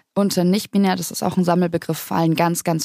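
A woman speaks at a very fast pace in a dark, mellow tone with fairly even intonation. The sound is dry and close, with no echo. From southern Bavaria, Germany. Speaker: trainee pastor. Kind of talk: podcast interview. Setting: studio.

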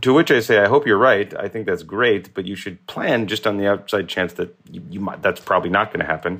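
On a very clean recording with a silent background, a man with a normal speaking voice and a fairly low pitch talks at a fairly quick pace with hardly any pauses, ordinary pitch variation, and big swings in loudness. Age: 40s. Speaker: molecular biologist. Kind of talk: interview.

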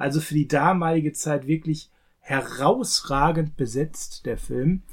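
A man talks at a fairly high pitch, his voice somewhat breathy. His pitch varies in an ordinary way. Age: 40s. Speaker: film podcast co-host. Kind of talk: casual chat.

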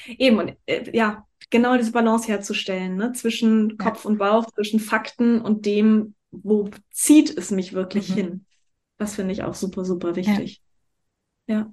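A somewhat breathy woman with a fairly high pitch talks at a moderate pace with fairly even intonation and long, frequent pauses. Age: 40s. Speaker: life and business coach, actress. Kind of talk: casual interview chat.

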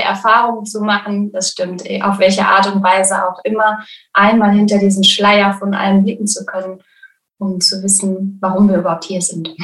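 Monotone and flat, a woman speaks at a moderate pace and a medium pitch. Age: 20s. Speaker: birth preparation coach. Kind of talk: interview. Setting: video call.

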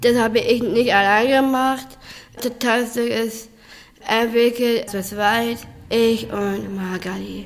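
In a fairly high voice, a woman speaks at a very slow pace with monotone, flat intonation. Audible echo from the room surrounds her. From northern Germany, Bremen. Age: 30s. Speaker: dancer and actress. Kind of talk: interview. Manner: halting.

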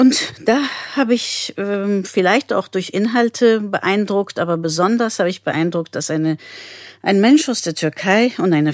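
A woman with a non-native accent, slowish pace, medium pitch and lively intonation, dry and close with no echo on a very clean recording with a silent background. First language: not German (speaking German). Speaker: pediatrician. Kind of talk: interview.

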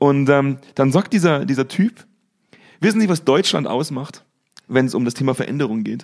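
In a very clean recording with a silent background, a man with a slight Bavarian accent speaks at a moderate pace and a fairly high pitch, with lively intonation and long, frequent pauses. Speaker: podcast host and business consultant. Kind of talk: casual chat.

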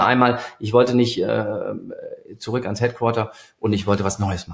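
Somewhat breathy male voice at medium pitch, a fairly quick pace and ordinary pitch variation. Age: 50s. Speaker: industry 4.0 consultant. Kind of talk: interview. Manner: hesitant with many fillers.

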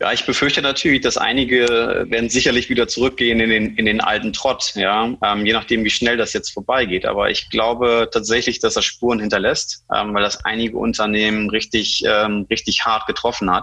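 A man's fairly quick delivery with very even loudness and hardly any pauses. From Germany. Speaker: digitalization consultant. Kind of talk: interview. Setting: online call. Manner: halting, many fillers.

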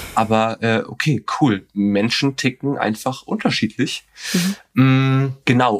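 A man's very slow delivery at a medium pitch, with ordinary pitch variation. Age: 20s. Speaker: podcast guest sharing dating story. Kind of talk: casual interview storytelling. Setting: remote video call.

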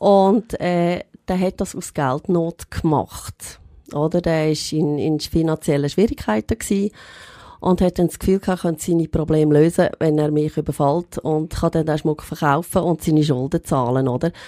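A woman's very deep, low voice with a dark, mellow tone and a Lucerne accent, dry and close with no echo, in a very clean recording over a silent background. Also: ordinary pitch variation, moderate pace. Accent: Swiss German (Lucerne). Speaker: goldsmith and shop owner. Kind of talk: personal testimony in interview.

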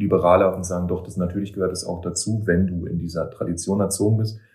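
Very deep, low male voice, somewhat breathy, with a dark, mellow tone and fairly even intonation. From eastern Germany. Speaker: poet and author. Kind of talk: casual interview conversation. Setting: in person, recorded in Berlin.

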